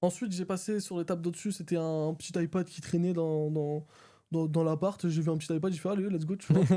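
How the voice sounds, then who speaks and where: A man speaks at a fairly quick pace in a high pitch, his tone dark and mellow and his intonation flat and monotone. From France. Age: 20s. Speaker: video editor. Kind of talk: interview. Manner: casual, fast.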